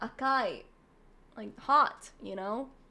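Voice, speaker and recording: Pitch shifts by an ordinary amount here. The voice is raised and projected, its tone bright and sharp. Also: woman. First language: not English (unnamed mother tongue). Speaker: vtuber streamer. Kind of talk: casual chat. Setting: live stream. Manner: casual, filler-heavy.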